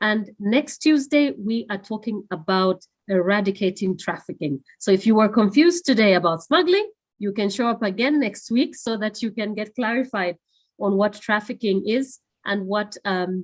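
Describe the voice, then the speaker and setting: Against a quiet background, a woman with a non-native accent and a fairly high pitch speaks at a moderate pace with lively intonation. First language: not English. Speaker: webinar moderator. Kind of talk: closing remarks of a webinar. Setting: online webinar. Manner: halting, many fillers.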